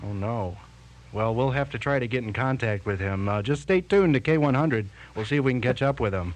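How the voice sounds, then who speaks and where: Speaking at a fairly quick pace, a man uses an unremarkable speaking voice of medium pitch with lively intonation. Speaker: radio morning show host. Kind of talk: radio morning show banter. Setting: radio studio broadcast.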